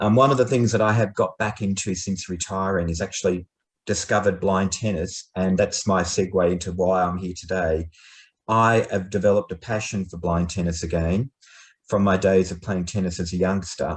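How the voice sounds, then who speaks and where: Against a quiet background, a man with an Australian accent speaks at a moderate pace. His pitch is very deep and low, his voice somewhat breathy, and his intonation fairly even. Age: 50s. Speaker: retired businessman and blind tennis player. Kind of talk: informal talk to an online group.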